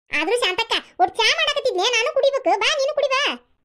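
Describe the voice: A woman does a squeaky cartoonish character voice at an extremely high pitch, talking at a fairly quick pace with lively intonation.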